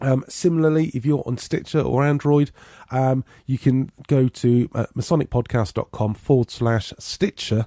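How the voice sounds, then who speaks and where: A man with an English accent speaks at a moderate pace and medium pitch, with a dark, mellow tone and ordinary pitch variation. The recording is very clean and dry, with a close sound, no echo, and a silent background. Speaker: podcast host. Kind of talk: podcast intro.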